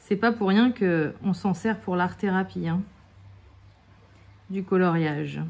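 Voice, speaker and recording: A woman's medium-pitched, relaxed voice with fairly even intonation, a very slow pace and long, frequent pauses. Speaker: craft YouTuber. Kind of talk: casual tutorial while colouring. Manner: relaxed, hesitant with fillers.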